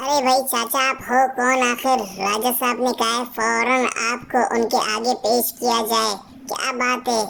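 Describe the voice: A woman's cartoonish character voice, high and monotone, with flat intonation, very even loudness and a fairly slow pace.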